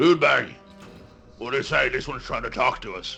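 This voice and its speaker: Over clear background music, a man puts on a raspy character voice at a medium pitch and a fairly quick pace. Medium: actual play. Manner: gruff, simple.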